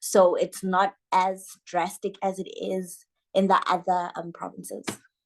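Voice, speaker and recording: A woman with a Lesotho accent speaks at a fairly slow pace, her loudness swinging widely. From South Africa. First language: Sesotho. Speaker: social media manager. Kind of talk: interview.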